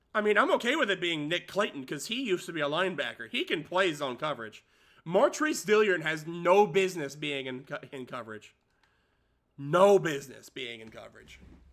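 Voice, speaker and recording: A man speaks at a high pitch and a fairly quick pace with lively intonation. His loudness swings widely. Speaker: gaming streamer. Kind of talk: gameplay commentary. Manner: animated.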